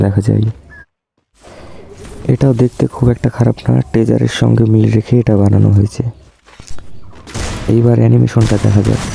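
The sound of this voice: Speaking at a fairly quick pace, a man uses a fairly low pitch with little pitch movement. His tone is dark and mellow, with vocal fry and a slightly husky edge.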